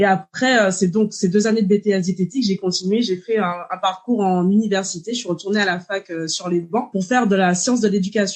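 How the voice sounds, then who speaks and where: Speaking with hardly any pauses, a woman uses a somewhat breathy voice at medium pitch with fairly even intonation. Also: fairly quick pace. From Martinique. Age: 30s. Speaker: dietitian. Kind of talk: podcast interview.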